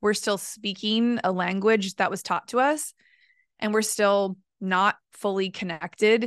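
A woman's unremarkable speaking voice at a fairly slow pace with fairly even intonation, dry and close with no echo, over a quiet background. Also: medium pitch for a woman. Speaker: podcast host and voice coach. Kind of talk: casual interview chat.

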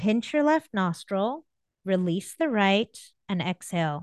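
The pitch swings very widely as the speaker talks at a fairly slow pace in a calm tone. The sound is dry and close with no echo, over a quiet background. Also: woman. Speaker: happiness coach and orthodontist. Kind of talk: interview; guided breathing exercise. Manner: slowed down, calm.

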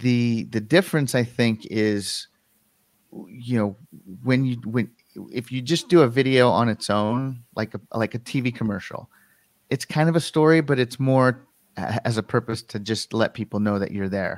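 A man with an American accent and a plain, everyday voice, medium pitch, ordinary pitch variation and a moderate pace, in a very clean recording with a silent background. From Western Colorado, US. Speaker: filmmaker and video producer. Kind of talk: casual interview.

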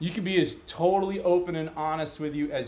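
An unremarkable speaking voice with an American accent, fairly even intonation and a moderate pace. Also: man. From New York. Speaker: podcast host. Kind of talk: casual chat. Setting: video call.

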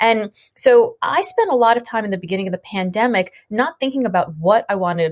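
A woman at a fairly quick pace with lively intonation. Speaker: author and entrepreneur. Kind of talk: interview podcast. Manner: fast; high energy.

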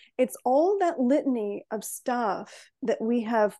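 In a Chicago accent, a woman speaks with a fairly high pitch and a dark, mellow tone. The background is quiet. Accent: Chicago American English. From US Midwest, Chicago. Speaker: wellness coach. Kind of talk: interview.

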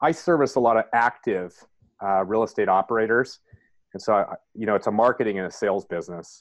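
A man with an American accent talks at a fairly quick pace in a fairly low pitch. It is a plain, everyday voice with ordinary pitch variation. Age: 50s. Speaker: real estate investor. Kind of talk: interview.

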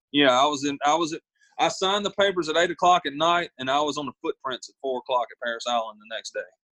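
At a very fast pace, a man with a Southern US accent speaks in a bright, sharp tone at a fairly high pitch with ordinary pitch variation. The sound is dry and close with no echo. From US South, South Carolina. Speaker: singer-songwriter and Marine veteran. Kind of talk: interview conversation. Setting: video call.

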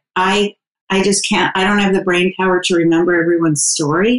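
It is an ordinary speaking voice with fairly even intonation. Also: woman. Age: 60s. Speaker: dating coach. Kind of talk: casual interview.

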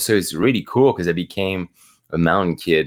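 In a very clean recording with a silent background, a man with a French accent speaks in a very deep, low pitch. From France, Normandy. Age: 30s. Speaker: professional mountain athlete. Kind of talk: interview conversation.

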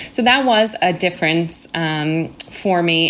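Over noticeable background noise, a woman speaks with an American accent at a fairly low pitch. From United States. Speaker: primary school teacher. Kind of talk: interview. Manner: hesitant, many ums.

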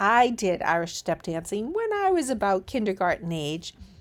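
At a fairly slow pace, a woman speaks in an ordinary speaking voice. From born in Ireland, raised in US. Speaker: kindergarten teacher, podcast host. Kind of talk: tips podcast monologue.

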